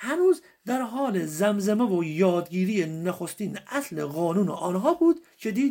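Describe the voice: The intonation stays lively as someone plainly reads the text aloud.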